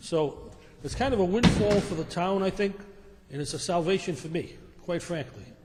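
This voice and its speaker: Over noticeable background noise and audible room echo, a man talks at a moderate pace. His pitch is high, with ordinary variation. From Rhode Island, North Providence. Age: 60s. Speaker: property developer. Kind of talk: public meeting presentation. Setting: town council meeting. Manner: halting.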